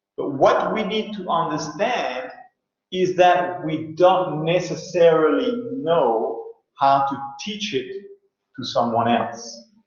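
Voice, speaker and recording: With audible room echo, a man speaks very slowly at a high pitch in lively intonation. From France. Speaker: university lecturer. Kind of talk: online lecture. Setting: online video class.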